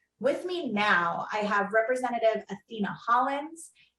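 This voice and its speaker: A woman speaks in an unremarkable speaking voice at a fairly high pitch. She keeps a moderate pace with ordinary pitch variation. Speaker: panel moderator. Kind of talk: online panel discussion.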